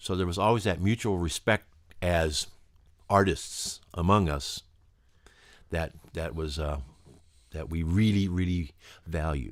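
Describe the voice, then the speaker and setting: A man speaks with a very deep, low voice. The recording is very clean, with a silent background. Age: 60s. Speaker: musician. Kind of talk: interview. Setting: recording studio. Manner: animated.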